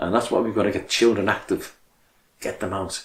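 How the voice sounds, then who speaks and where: A man's somewhat breathy, fairly low voice with a Liverpool accent at a moderate pace. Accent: Scouse (Liverpool). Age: 70s. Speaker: charity chairman. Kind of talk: appeal speech.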